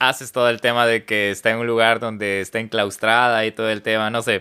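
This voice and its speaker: A man's medium-pitched voice has a bright, sharp tone and monotone, flat intonation. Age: 30s. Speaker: podcast host. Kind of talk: casual interview chat.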